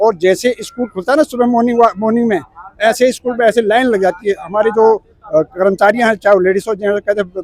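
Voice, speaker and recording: A man speaks at a high pitch with hardly any pauses. The sound is dry and close with no echo, though background noise is noticeable. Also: ordinary pitch variation, moderate pace. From Uttarakhand, India. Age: 60s. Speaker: retired government clerk. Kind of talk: street interview. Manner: animated.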